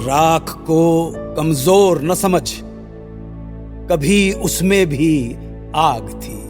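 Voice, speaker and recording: A man's fairly high voice with fairly even intonation and long, frequent pauses, music in the background. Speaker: radio presenter. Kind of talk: sponsored radio story narration.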